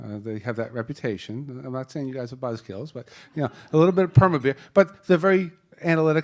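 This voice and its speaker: Here a man speaks with an American accent. His intonation is lively. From Boston area. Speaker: panel moderator, wealth management executive. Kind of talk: panel introduction. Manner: casual, joking.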